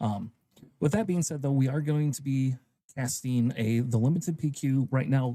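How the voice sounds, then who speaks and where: A man speaks quietly at a medium pitch and moderate pace, with ordinary pitch variation. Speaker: tournament caster. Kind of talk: live game commentary. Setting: hobby store livestream. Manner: speaking quietly; usually loud, projecting.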